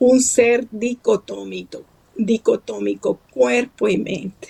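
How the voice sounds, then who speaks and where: This woman's voice is high-pitched, with a dark, mellow tone. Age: 70s. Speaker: writer and psychologist. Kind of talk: interview.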